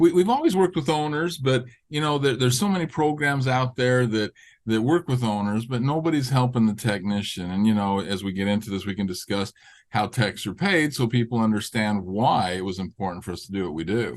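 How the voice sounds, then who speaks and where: Against a quiet background, a man with a medium pitch talks at a fairly quick pace with lively intonation. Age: 60s. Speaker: auto repair business owner. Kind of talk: podcast interview. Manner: halting.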